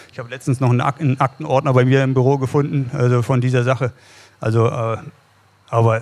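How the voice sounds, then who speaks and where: A man's fairly quick, medium-pitched voice with monotone, flat intonation. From northeastern Germany, Rostock; northeastern Germany. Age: 50s. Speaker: cycling coach and former pro cyclist; cycling coach. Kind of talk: live podcast interview. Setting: live recording in a pizzeria with audience. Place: cafe. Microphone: studio mic.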